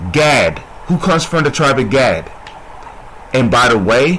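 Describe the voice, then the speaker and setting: A man talks with a fairly high pitch and lively intonation. Noticeable background noise sits behind him. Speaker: religious teacher. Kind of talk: bible teaching. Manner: soft-spoken; repetitive, call-and-response questions.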